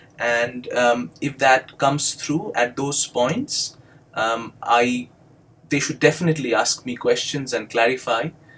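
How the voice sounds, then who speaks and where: A man speaks with an Indian accent. His pace is fairly slow and his pitch fairly high. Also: ordinary pitch variation. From India (Bengali-speaking). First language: Bengali. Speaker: doctoral student and English instructor. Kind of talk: educational video monologue. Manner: hesitant, many fillers.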